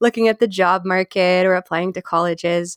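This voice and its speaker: A woman uses a normal speaking voice at a medium pitch and a fairly quick pace, with fairly even intonation and a dry, close sound with no echo in a very clean recording with a silent background. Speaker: linguist and educator. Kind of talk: expert advice in a podcast panel.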